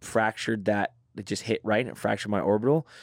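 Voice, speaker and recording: Recorded very cleanly against a silent background, the sound dry and close with no echo, a man talks in a normal speaking voice at medium pitch, with ordinary pitch variation and a moderate pace. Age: 30s. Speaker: professional MMA fighter. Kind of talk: casual interview chat.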